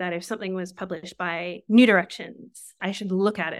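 A woman with an Australian accent at a moderate pace and medium pitch, fairly even in intonation, on a very clean recording with a silent background. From southeast Australia. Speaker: novelist and creative writing teacher. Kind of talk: interview conversation.

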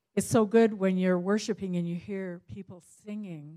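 A woman's dark, mellow tone in a Canadian accent, medium pitch, monotone, flat intonation and a moderate pace. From Canada. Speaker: visiting minister. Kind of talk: church greeting. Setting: church.

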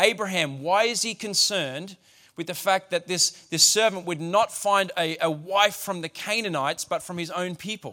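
This man, with an Australian accent, has a high pitch and a bright, sharp tone, speaking at a moderate pace with ordinary pitch variation on a very clean recording with a silent background. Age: 40s. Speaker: pastor. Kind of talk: sermon.

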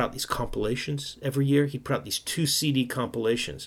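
On a very clean recording with a silent background, a man with a New York accent talks at a very fast pace. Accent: New York American. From New York City. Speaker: jazz radio host and DJ. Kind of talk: casual interview.

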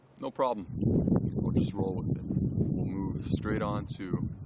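A man speaks very slowly at a fairly low pitch, with ordinary pitch variation. Noticeable background noise and audible room echo fill the recording. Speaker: podcast host. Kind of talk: solo philosophical monologue. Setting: outdoors by a river. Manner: casual, free-flowing.

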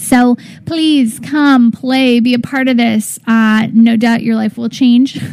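There is noticeable background noise behind this woman. She speaks at a high pitch and a very slow pace. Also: fairly even intonation. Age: 30s. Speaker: wellness radio host. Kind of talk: casual spiritual talk radio. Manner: relaxed, with many fillers and laughs.

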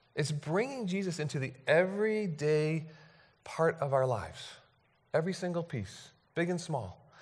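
At a moderate pace, a man with a fairly high pitch speaks with lively intonation and long, frequent pauses, in audible room echo. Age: 40s. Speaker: pastor. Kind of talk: sermon. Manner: halting.

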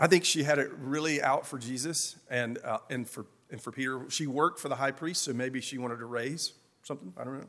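In an Appalachian accent, a man speaks at a fairly quick pace with a fairly high pitch, a bright, sharp tone, ordinary pitch variation and big swings in loudness. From Appalachia, US. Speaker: pastor. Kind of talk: sermon.

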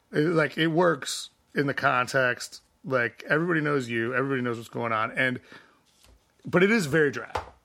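A man with an ordinary speaking voice, fairly high in pitch with ordinary pitch variation, at a fairly quick pace. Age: 40s. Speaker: musician. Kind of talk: casual chat.

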